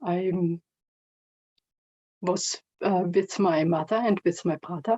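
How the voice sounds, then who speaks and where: A woman's medium-pitched voice with fairly even intonation and a non-native accent. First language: not English. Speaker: online meeting participant. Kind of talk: personal sharing. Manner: halting.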